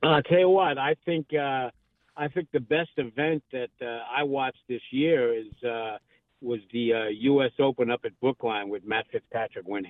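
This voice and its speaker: Moderate pace and ordinary pitch variation in an American accent. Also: man, medium pitch for a man. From New York. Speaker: golf professional and radio host. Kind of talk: casual sports radio interview. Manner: hesitant with many fillers.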